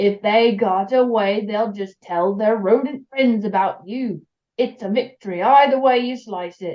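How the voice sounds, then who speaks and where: Putting on a character voice, a woman speaks at a moderate pace and a fairly high pitch. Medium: read story. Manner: rambling, muttering.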